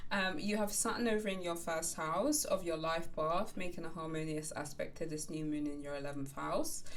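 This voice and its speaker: The speech moves at a moderate pace with hardly any pauses and ordinary pitch variation, and there is audible room echo. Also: woman, fairly low pitch for a woman. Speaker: astrologer. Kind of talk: horoscope reading. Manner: conversational with fillers.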